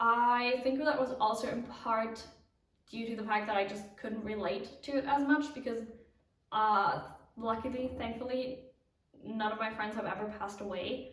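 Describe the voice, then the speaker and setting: A woman talks at a moderate pace with a fairly high pitch and fairly even intonation. Audible room echo surrounds her voice. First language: not English. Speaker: knitting podcaster. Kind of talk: casual vlog chat.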